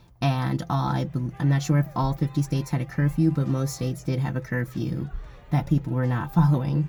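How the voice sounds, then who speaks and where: An American accent at a fairly quick pace, with music in the background. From Erie County, New York. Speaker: vlogger. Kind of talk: vlog narration.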